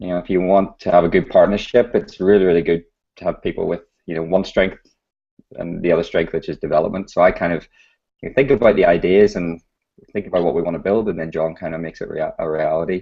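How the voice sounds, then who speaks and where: Talking very fast, a man speaks with a British accent. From UK. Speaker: startup founder. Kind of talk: interview.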